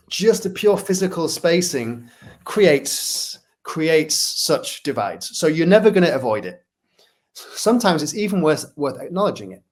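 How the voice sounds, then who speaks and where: Speaking with a Manchester accent, a man uses a high pitch and lively intonation at a moderate pace, with big swings in loudness. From northern England, Manchester. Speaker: workplace culture consultant, speaker. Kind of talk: interview.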